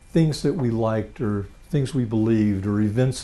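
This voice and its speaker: A man's very fast speech, fairly low in pitch with a dark, mellow tone and ordinary pitch variation, in audible room echo. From Louisiana. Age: 60s. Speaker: retired financial planner, presenter. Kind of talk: lecture.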